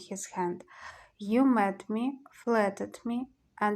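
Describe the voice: The pitch varies in an ordinary way as the text is read aloud plainly.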